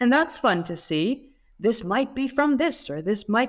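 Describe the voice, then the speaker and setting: A woman's high-pitched voice in a Dutch accent, very slow, with very wide pitch swings. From Netherlands. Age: 30s. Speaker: history YouTuber. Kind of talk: casual chat.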